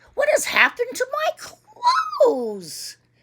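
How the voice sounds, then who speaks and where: A woman does a put-on character voice at an extremely high pitch. She speaks at a fairly slow pace. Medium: read story. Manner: curt, self-important.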